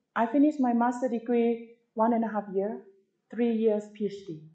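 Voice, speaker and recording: A woman speaks at a fairly high pitch with a dark, mellow tone. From Thailand. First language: Thai. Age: 50s. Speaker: tourism professor. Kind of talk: lecture. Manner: animated.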